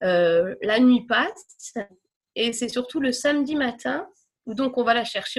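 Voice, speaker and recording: A woman's high-pitched voice with lively intonation at a fairly slow pace. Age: 30s. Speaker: mother of diabetic twins. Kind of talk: testimony. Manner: hesitant, many fillers.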